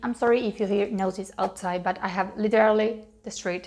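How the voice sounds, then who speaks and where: A woman with a Spanish accent can be heard on a very clean recording, the background completely silent. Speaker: beauty youtuber. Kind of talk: makeup tutorial. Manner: halting, with frequent fillers.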